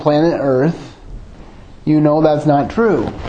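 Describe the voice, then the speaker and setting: A man with an Upper Midwest accent speaks at a fairly slow pace in a fairly high voice. Audible room echo and noticeable background noise fill the recording. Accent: Upper Midwest American (Michigan). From Michigan, suburban Grand Rapids. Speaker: lay preacher. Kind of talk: sermon with personal testimony. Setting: church.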